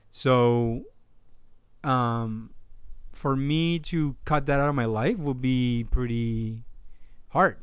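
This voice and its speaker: A man at a very slow pace, with long, frequent pauses, ordinary pitch variation and audible room echo. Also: medium pitch for a man. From Peru. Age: 30s. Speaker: photojournalist. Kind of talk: casual chat. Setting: outdoors.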